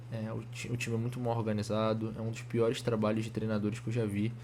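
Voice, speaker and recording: Somewhat breathy and at a medium pitch, a man speaks with audible room echo. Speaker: football fan commentator. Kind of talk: casual video commentary. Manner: fast; halting, many restarts.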